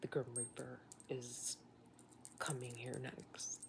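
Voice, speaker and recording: A woman is whispering. Her pace is very slow. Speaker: nurse recounting illness. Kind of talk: personal storytelling monologue.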